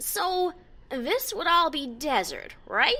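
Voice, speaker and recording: A woman in a put-on character voice. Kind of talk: first-person story reading. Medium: read story.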